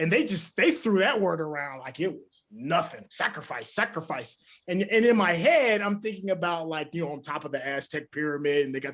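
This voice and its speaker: A man talks at a fairly quick pace with hardly any pauses, his pitch high and his intonation lively. His loudness swings widely. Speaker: podcast co-host. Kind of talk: casual chat.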